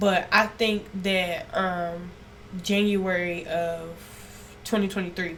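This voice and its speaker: A loud woman talks in a monotone, flat intonation, with audible room echo and noticeable background noise. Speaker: esthetician. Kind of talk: podcast interview. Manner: naturally loud.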